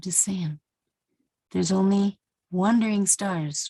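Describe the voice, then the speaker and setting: A woman speaks at a fairly slow pace in a dark, mellow tone. Her voice is somewhat breathy, with a dry, close sound and no echo. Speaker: Bible teacher vlogger. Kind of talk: casual tutorial monologue. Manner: animated.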